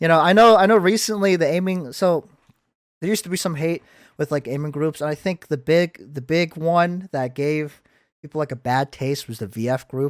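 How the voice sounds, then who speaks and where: The recording is very clean, with a silent background and a dry, close sound with no echo. A man with a fairly high pitch speaks with ordinary pitch variation. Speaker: podcast host. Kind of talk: casual chat. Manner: loud; fast, halting.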